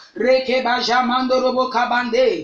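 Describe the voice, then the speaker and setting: A woman's high-pitched voice at a fairly slow pace, over noticeable background noise. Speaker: pastor. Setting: online prayer broadcast. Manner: commanding and declarative, issuing prayers as decrees.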